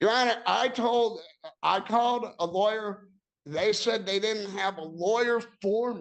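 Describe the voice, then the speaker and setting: Audible room echo surrounds a man with a high pitch who talks at a fairly slow pace with ordinary pitch variation. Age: 60s. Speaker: tenant defendant in eviction hearing. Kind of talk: court testimony. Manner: halting.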